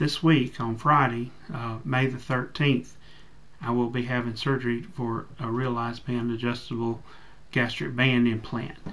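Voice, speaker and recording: A man speaks in a plain, everyday voice at a medium pitch. His intonation is fairly even and his pace moderate. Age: 40s. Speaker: bariatric surgery patient. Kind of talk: casual talk to camera.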